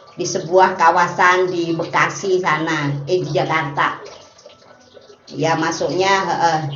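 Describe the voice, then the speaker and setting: Speaking at a very slow pace in a flat monotone, a woman with a fairly low voice is heard over noticeable background noise and audible room echo. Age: 60s. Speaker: meditation teacher. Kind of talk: casual explanatory talk. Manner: hesitant, many filler sounds.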